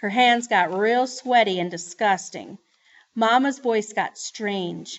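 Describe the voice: This is plain reading aloud with ordinary pitch variation over a quiet background.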